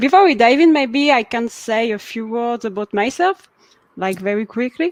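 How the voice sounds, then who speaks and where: Lively intonation in a strong French accent at a moderate pace, with a dry, close sound and no echo. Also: woman, fairly high pitch for a woman. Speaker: web developer. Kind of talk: technical talk.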